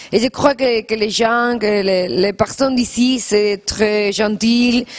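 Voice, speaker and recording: Against noticeable background noise, a woman with a Spanish accent speaks very slowly at a fairly high pitch. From Spain. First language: Spanish (speaking French). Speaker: actress. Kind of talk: TV interview. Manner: halting.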